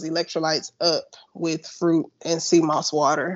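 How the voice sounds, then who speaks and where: At a moderate pace, the speaker uses a plain, everyday voice. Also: woman. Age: 30s. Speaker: funeral director. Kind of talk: casual chat.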